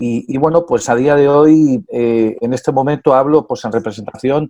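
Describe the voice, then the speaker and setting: A man with a Spanish accent, dark and mellow in tone, at a moderate pace, in a dry, close sound with no echo. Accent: Spanish (Spain). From Spain. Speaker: tourism business association president. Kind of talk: interview. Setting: at home.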